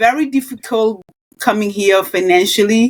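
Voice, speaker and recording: A woman with a Kenyan accent, animated in tone, at a moderate pace. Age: 60s. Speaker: nurse and wellness coach. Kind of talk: podcast interview.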